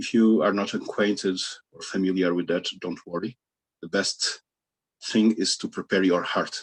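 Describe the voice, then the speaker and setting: At a moderate pace, a man speaks in a fairly low pitch, leaving long, frequent pauses. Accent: non-native. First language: not English. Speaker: Buddhist teacher. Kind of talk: Dharma talk. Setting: video call. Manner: halting.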